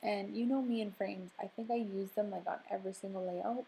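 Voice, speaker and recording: With a dark, mellow, somewhat breathy tone, a woman speaks at medium pitch, a moderate pace and ordinary pitch variation. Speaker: scrapbooking video creator. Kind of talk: voiceover tutorial narration. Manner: soft, whispery; casual with many fillers.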